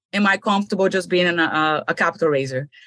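A woman speaks with a Brazilian accent and a lively intonation. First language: Portuguese. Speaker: real estate investor. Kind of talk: interview.

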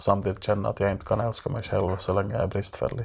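A man talking at a very fast pace. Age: 30s. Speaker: writer and critic. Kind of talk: casual chat. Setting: basement room.

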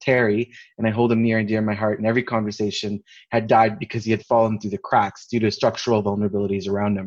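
A man with a Canadian accent talks at a very fast pace and medium pitch against a quiet background. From Canada. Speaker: palliative care physician and homeless health advocate. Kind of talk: casual interview chat.

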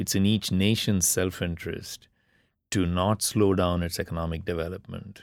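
Very deep and low, a man's voice comes with a Tamil accent. He keeps a moderate pace on a very clean recording with a silent background. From India. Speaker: politics professor. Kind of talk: panel discussion.

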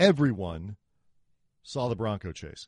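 A man talks at a fairly slow pace, his pitch swinging very widely. The background is quiet. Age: 40s. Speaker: sports podcast host. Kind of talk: casual chat.

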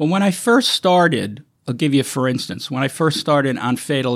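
A man's fairly high pitch with lively intonation and an American accent. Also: very clean recording, silent background. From Brooklyn, New York. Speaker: film location manager. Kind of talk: interview.

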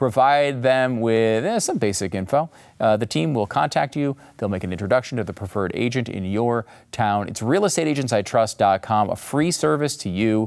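A man with an American accent, medium pitch and lively intonation at a moderate pace, an ordinary speaking voice, on a very clean recording with a silent background. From New York. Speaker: political podcast host. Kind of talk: political commentary show. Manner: sarcastic, laughs often.

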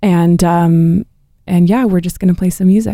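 With a West Coast accent, a woman speaks in a dark, mellow tone and fairly even intonation, captured in a very clean recording with a silent background. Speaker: opera singer. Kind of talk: interview.

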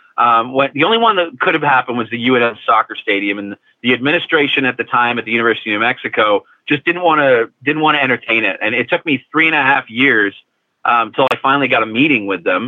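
Speaking at a very fast pace, a man keeps to a medium pitch. He uses ordinary pitch variation. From Liverpool, England; later Toronto and Phoenix. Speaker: soccer club president. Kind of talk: interview.

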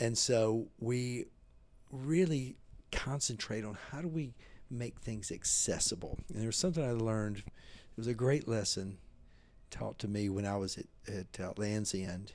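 With a Southern US accent, a man speaks at medium pitch. His pace is fairly slow, and his pitch variation is ordinary. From US South, Mississippi. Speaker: menswear designer and retailer. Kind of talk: interview. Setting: hotel.

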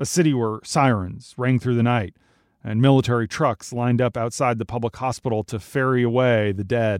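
In a very clean recording with a silent background and a dry, close sound with no echo, a man at medium pitch uses a normal speaking voice with ordinary pitch variation and a moderate pace. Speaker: news podcast host. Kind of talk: formal news reading, scripted daily news briefing. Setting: studio. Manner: formal, measured, steady newsreader delivery.

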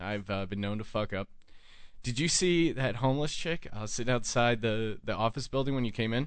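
A man with an unremarkable speaking voice at medium pitch, ordinary pitch variation and a fairly quick pace. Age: 20s. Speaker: radio talk show host. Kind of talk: casual chat. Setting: studio.

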